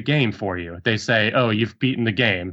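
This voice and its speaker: A man with a plain, everyday voice talks at medium pitch with ordinary pitch variation. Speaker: podcast panelist. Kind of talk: casual chat.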